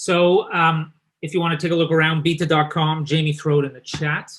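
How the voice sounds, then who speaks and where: A man with a fairly high pitch, a moderate pace and a Canadian accent. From eastern Canada. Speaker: company founder and event host. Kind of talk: webinar presentation.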